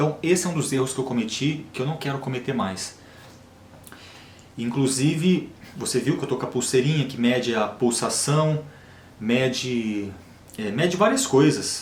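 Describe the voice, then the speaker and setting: A man's medium-pitched voice at a moderate pace, with long, frequent pauses and audible room echo. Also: ordinary pitch variation. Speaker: health and diet vlogger. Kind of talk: casual monologue to camera. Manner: natural, unforced delivery.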